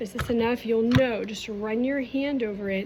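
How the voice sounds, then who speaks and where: With fairly even intonation and a fairly high pitch, a woman talks over noticeable background noise. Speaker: art teacher. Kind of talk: tutorial.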